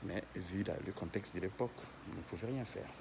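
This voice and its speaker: Soft-spoken and somewhat breathy, a man talks at a moderate pace. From Africa. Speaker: vlogger. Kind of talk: casual guided tour vlog. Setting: inside a church during mass. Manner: hesitant, many fillers.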